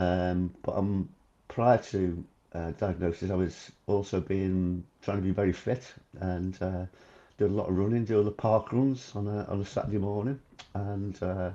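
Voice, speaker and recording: A man talks at a moderate pace. His voice is fairly low and his intonation fairly even. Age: 60s. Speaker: cancer patient sharing his story. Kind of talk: podcast interview. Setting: video call. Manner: hesitant, many fillers.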